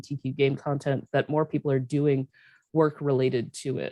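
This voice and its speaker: A woman's dark, mellow voice at a fairly quick pace, dry and close with no echo. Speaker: professor. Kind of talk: conference presentation. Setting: video call. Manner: fast.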